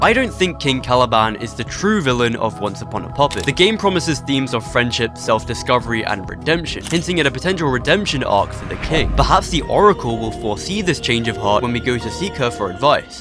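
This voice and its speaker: A man's medium-pitched voice racing very fast with hardly any pauses and very wide pitch swings, music in the background. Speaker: gaming video creator. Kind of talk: video game explainer narration. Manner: dry, sarcastic asides.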